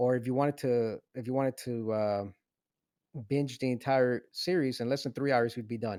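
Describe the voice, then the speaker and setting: A man with an American accent speaks at medium pitch and a moderate pace in a dark, mellow tone with fairly even intonation, the sound dry and close with no echo in a very clean recording with a silent background. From Venezuela, raised in US from age six. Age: 30s. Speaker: podcast co-host, TV show reviewer. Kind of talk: casual chat. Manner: halting, many repeated words and fillers.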